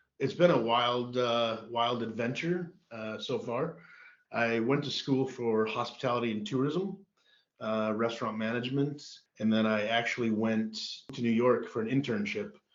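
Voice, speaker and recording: Speaking with an American accent, a man talks at a medium pitch and a moderate pace. His pitch varies in an ordinary way, and the room echo is audible. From US Midwest (Duluth, Minnesota). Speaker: golf club general manager. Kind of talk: podcast interview.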